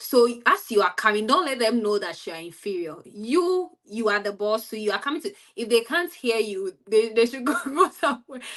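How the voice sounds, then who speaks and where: Lively intonation marks this woman's voice, in a Ghanaian accent. Her pitch is fairly high. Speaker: study-abroad student. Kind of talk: interview.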